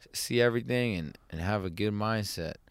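A man with a plain, everyday voice speaks at a moderate pace and a fairly low pitch. The recording is very clean, with a silent background. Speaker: podcast host. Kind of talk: casual banter interview. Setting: in a van. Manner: joking, teasing.

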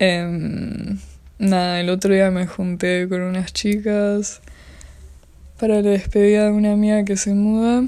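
Speaking in a Rioplatense accent, a woman uses a medium pitch and a dark, mellow tone, keeping a flat monotone at a fairly slow pace. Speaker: podcaster. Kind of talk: solo casual monologue.

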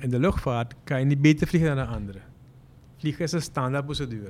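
Very fast speech from a man, pitch varying in an ordinary way. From Suriname (Moengo). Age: 50s. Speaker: airline pilot. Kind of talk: interview.

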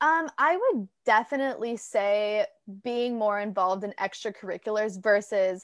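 Speaking with an American accent at a fairly slow pace, a woman shows ordinary pitch variation on a very clean recording with a silent background. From Orange County, California. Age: 20s. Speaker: young podcast host. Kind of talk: casual interview. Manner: energetic.

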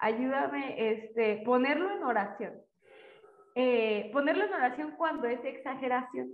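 A woman speaks at a fairly slow pace with a high pitch and lively intonation. Audible room echo surrounds her voice. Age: young. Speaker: student. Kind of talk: casual chat.

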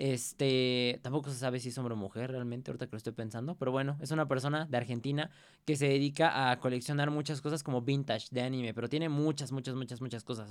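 In a Mexican accent, a man talks at medium pitch and a fairly quick pace. His intonation stays fairly even. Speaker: podcast host. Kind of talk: casual chat. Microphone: new pop filter on microphone.

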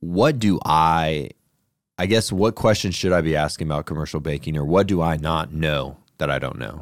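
A man with an American accent, very deep and low in pitch, with vocal fry, ordinary pitch variation and a moderate pace, in a very clean recording over a silent background. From Colorado. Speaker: podcast host and real estate investor. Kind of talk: interview.

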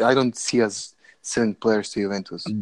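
The speech moves at a moderate pace with fairly even intonation. The sound is dry and close, with no echo. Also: man. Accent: Macedonian. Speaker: podcast host. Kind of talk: casual banter. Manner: profane, joking.

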